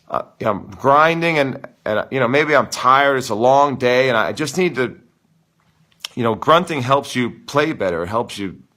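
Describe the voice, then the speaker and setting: Loud, animated, and bright with a sharp tone, a man speaks at a medium pitch and a moderate pace. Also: ordinary pitch variation. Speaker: tennis coach. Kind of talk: live Q and A stream. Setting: live stream.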